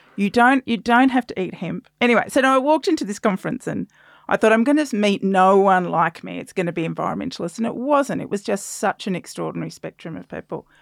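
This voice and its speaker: In an Australian accent, a woman talks at a very fast pace with hardly any pauses, lively intonation, and vocal fry. Her loudness swings widely, and the sound is dry and close with no echo. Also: medium pitch for a woman, very clean recording, silent background. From South Australia. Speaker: climate communication researcher and author. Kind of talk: casual interview chat.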